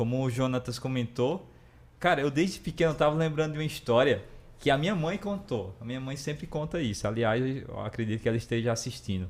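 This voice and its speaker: With a Ceará accent, a man speaks fairly quickly at a medium pitch and with lively intonation. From Brazil, Ceará. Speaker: entrepreneur, former bank worker. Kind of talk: live podcast interview.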